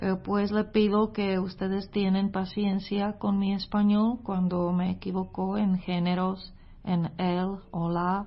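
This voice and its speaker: Slowly, very slowly, a woman speaks with a non-native accent at medium pitch, somewhat breathy and with very even loudness. Her intonation is monotone and flat, and she hardly pauses. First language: not Spanish (speaking Spanish). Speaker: missionary preacher. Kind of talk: sermon. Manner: hesitant, with filler sounds.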